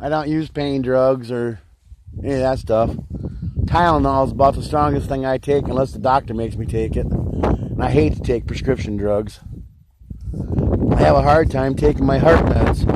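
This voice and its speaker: Noticeable background noise sits under a man's voice. He keeps a moderate pace but stops for long, frequent pauses. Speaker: off-grid homesteader vlogger. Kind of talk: casual vlog monologue. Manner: loud.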